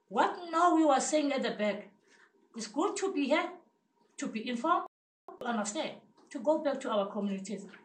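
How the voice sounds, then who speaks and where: A woman speaks at a high pitch with very wide pitch swings and long, frequent pauses. Audible room echo surrounds her voice. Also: moderate pace. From South Africa, Cape Town townships. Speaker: community health committee member. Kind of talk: impassioned audience comment. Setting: seminar room with audience. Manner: animated. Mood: earnest, passionate. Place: meeting room. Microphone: camera far.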